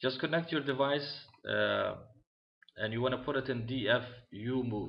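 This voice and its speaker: A man with a non-native accent speaks at a moderate pace and medium pitch. His intonation is fairly even, and the room echo is audible. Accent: foreign accent, self-noted. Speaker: tech tutorial maker. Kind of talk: tutorial. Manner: halting, many fillers.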